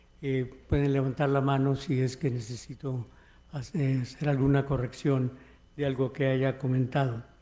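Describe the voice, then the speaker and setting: Delivered at a moderate pace, a man's medium-pitched voice holds a flat monotone with very even loudness. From United States, Mexican-American. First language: English (speaking Spanish). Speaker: history professor. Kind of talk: keynote lecture. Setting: conference hall with audience. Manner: halting, with fillers.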